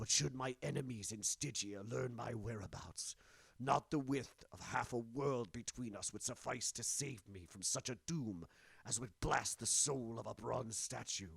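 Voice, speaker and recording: A man puts on a character voice at a medium pitch, with ordinary pitch variation. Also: moderate pace. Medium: read story. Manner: intense, grim.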